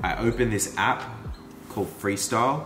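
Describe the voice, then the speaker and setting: A man at a moderate pace with lively intonation, audible room echo and music in the background. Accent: Australian. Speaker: mountain biker vlogger. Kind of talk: vlog narration. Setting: over coffee. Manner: animated.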